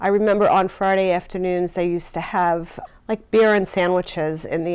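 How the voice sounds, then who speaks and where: Over a very clean, silent background, a woman with an American accent uses an unremarkable speaking voice at a medium pitch, with fairly even intonation and a moderate pace. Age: 60s. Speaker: nurse. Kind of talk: interview answers.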